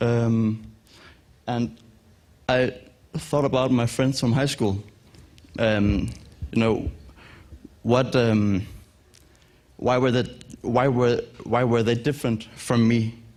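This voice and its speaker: A man at a medium pitch, very slow in pace, with long, frequent pauses and fairly even intonation. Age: 20s. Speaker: filmmaker. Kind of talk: pitch presentation. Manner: halting.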